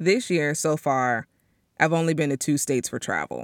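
A woman's animated tone in a dry, close sound with no echo. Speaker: podcast host. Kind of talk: solo monologue podcast.

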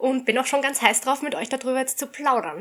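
A woman's high-pitched voice with a bright, sharp tone, on a very clean recording against a silent background. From Austria. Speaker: shooting instructor. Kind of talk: casual chat.

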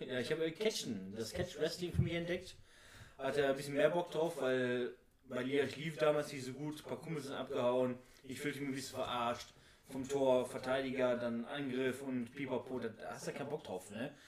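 A man at a moderate pace, with an ordinary speaking voice, medium pitch and ordinary pitch variation. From Oberhausen, Ruhr area, Germany. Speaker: amateur footballer and wrestler. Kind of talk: casual chat.

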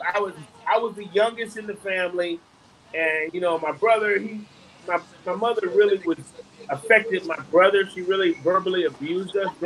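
Over noticeable background noise, a man with a high pitch speaks at a fairly quick pace with ordinary pitch variation. His loudness swings widely, and he takes long, frequent pauses. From Detroit, Michigan. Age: 50s. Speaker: comedian and actor. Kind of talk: casual interview chat.

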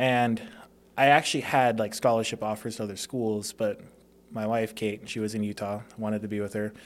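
At a fairly quick pace, a man talks in a fairly low, monotone voice with flat intonation. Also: very clean recording, silent background. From Las Vegas, Nevada (born in Hawaii). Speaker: door-to-door sales professional, former college football player. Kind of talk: casual interview.

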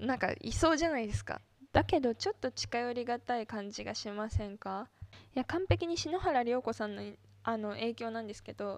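An ordinary speaking voice from a woman moves at a fairly quick pace, fairly high in pitch with lively intonation and big swings in loudness. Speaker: solo podcaster and idol fan. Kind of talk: casual solo monologue.

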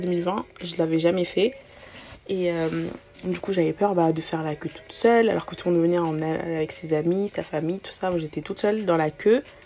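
A woman speaks with a fairly low pitch and fairly even intonation at a moderate pace, with noticeable background noise. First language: not French (speaking French). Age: 20s. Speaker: podcast host. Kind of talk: casual monologue. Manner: hesitant, many fillers.

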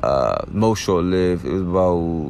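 Audible room echo surrounds a man speaking in an American accent. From Prince George's County, Maryland. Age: 30s. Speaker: podcast host. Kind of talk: casual chat. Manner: animated.

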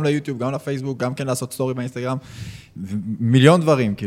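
This man has a normal speaking voice at medium pitch. His pitch varies in an ordinary way. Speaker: podcast co-host, business owner. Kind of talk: casual interview chat.

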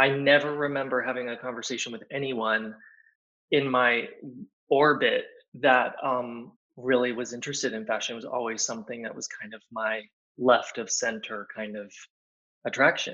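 A man with an American accent, medium-pitched and fairly even in intonation, at a moderate pace with long, frequent pauses and big swings in loudness. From Texas, Dallas suburbs. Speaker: fashion designer. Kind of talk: interview conversation.

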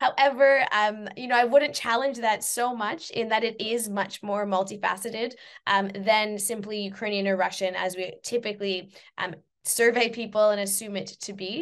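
A woman with a Canadian accent speaks at a moderate pace in a fairly high pitch, with fairly even intonation and big swings in loudness. It's a normal speaking voice over a quiet background. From Canada. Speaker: university lecturer and researcher. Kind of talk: interview.

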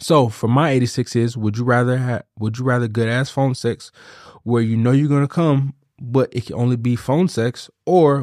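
A man talks at a moderate pace with medium pitch and fairly even intonation, in a plain, everyday voice. The sound is dry and close with no echo, a very clean recording with a silent background. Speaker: podcast host. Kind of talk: casual banter, comedic chat.

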